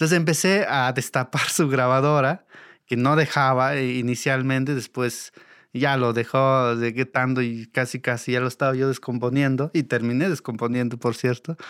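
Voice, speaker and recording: A man speaks at medium pitch with fairly even intonation and very even loudness. The recording is very clean, with a silent background. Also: moderate pace. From Mexico, Oaxaca Sierra Norte (Mixe community). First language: Mixe (speaking Spanish). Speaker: sound engineer. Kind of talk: interview storytelling.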